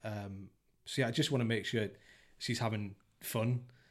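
Here a man speaks with an English accent at a fairly low pitch. His pace is moderate and his intonation monotone and flat. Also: very clean recording, silent background. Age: 30s. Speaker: father interviewed about parenting. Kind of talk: casual chat. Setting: host's dining room.

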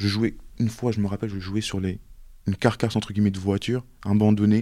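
A man with a fairly low pitch and a dark, mellow tone talks at a very fast pace on a very clean recording with a silent background. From France (Montluçon, Auvergne) and Mayotte. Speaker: work-study student. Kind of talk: casual interview.

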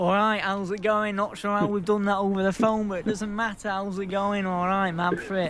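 A man's high, monotone voice, fairly quick with hardly any pauses, over noticeable background noise. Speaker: radio presenter and podcast co-host. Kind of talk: casual chat.

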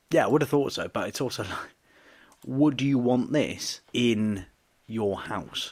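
In a natural reading voice, the pitch moves with ordinary variation.

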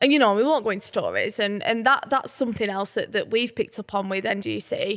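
A woman with a northern English accent talks very fast in a fairly high pitch with ordinary pitch variation. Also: very clean recording, silent background. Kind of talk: casual chat.

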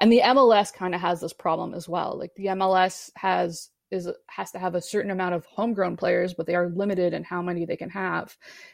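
A woman with an ordinary speaking voice talks at a fairly quick pace, her pitch medium and her intonation fairly even. The background is quiet. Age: 30s. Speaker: football commentator. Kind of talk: casual chat.

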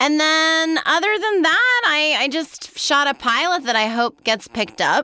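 Raised and projected, a woman's extremely high voice with an American accent sounds bright, sharp and animated, swinging very widely in pitch at very even loudness. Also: fairly slow pace. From New York City. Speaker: actress. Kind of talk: casual chat.

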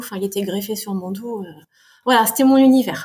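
A fairly high-pitched, somewhat breathy woman at a moderate pace. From France, Tours. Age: 40s. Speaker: amateur marathon runner. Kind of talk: interview storytelling.

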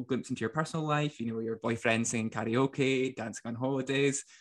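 Here a man talks with a Scottish accent. His intonation is fairly even, and the background is quiet. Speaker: podcast host. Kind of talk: casual interview chat.

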